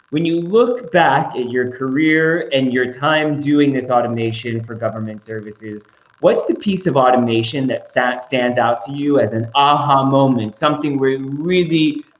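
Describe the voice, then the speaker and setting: Noticeable background noise sits behind the voice. A man with an American accent speaks at a moderate pace. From United States. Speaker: moderator. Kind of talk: panel discussion.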